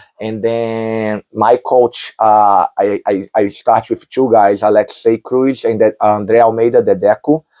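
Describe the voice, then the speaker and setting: A man with a Brazilian Portuguese accent speaks at a fairly slow pace with hardly any pauses, a medium pitch, fairly even intonation and a dark, mellow tone, in a dry, close sound with no echo. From Brazil, Rio de Janeiro. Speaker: jiu-jitsu champion. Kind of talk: interview.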